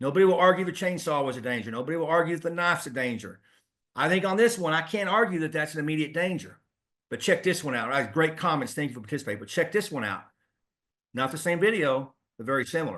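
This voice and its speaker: Against a quiet background, a man with a fairly high pitch and a bright, sharp tone speaks at a very fast pace. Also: lively intonation. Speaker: police trainer. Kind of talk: webinar lecture. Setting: online webinar.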